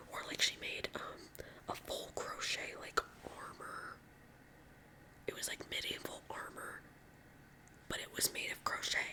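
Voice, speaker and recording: A woman whispering at a fairly slow pace, with long, frequent pauses and noticeable background noise. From California. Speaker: ASMR creator. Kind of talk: casual chat. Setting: home at night. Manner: soft-spoken.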